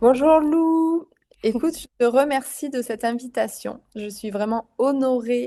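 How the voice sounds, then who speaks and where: A woman speaks with lively intonation and a dark, mellow tone. The background is quiet. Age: 40s. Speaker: psycho-nutritionist. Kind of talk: interview. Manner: lively, bubbly; halting, many fillers.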